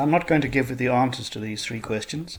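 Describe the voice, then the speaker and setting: Here is a man at a medium pitch. His pitch variation is ordinary. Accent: South African. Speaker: school science teacher. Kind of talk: recorded online lesson. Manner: explanatory, measured.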